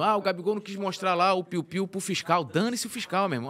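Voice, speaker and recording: Here a man speaks at a high pitch. His pace is fairly quick. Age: 40s. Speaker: sports web journalist. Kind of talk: casual chat. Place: studio. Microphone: studio mic.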